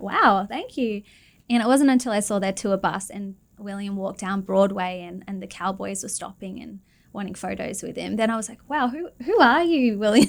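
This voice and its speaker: A woman speaks in an Australian accent at a fairly quick pace. Her intonation is lively. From Australia, Perth. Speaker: singer-songwriter. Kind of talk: radio interview.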